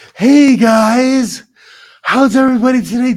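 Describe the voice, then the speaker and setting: This is a put-on character voice at a fairly high pitch. The delivery moves at a moderate pace. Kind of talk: presenter-style. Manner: exaggerated, performed, overly cheerful.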